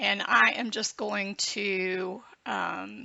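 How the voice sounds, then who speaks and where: A woman with a Southern accent. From US South, Georgia. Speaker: book designer and tutorial creator. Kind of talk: tutorial. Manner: slow; casual, hesitant with fillers.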